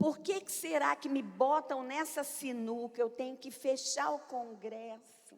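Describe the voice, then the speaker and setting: This woman talks at a very slow pace. Her voice is high-pitched, with ordinary pitch variation. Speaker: pastor. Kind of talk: sermon. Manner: loud.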